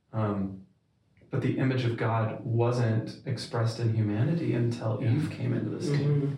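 A man's medium-pitched, somewhat breathy voice with a dark, mellow tone, very even loudness, ordinary pitch variation and a moderate pace. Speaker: podcast co-host. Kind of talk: casual interview.

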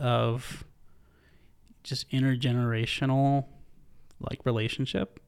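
A man with a medium pitch and fairly even intonation speaks at a very slow pace on a very clean recording with a silent background. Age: 20s. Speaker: church staff member, podcast guest. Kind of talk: casual chat.

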